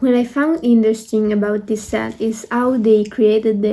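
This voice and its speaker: A woman's fairly high-pitched, monotone, flat voice with a non-native accent. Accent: non-native English pronunciation. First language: not English. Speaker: art student and K-pop video creator. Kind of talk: video essay commentary. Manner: hesitant with fillers.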